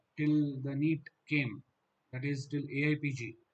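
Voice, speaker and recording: This man speaks with a Gujarati accent. His voice is fairly high-pitched and somewhat breathy. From Gujarat, India. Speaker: dental exam coaching teacher. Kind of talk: online live class.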